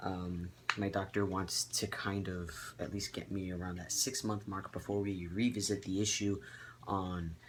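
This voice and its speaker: Fairly low-pitched and somewhat breathy, a man is speaking. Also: fairly even intonation, moderate pace. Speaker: vlogger. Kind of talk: casual vlog update. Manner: many filler ums, hesitant.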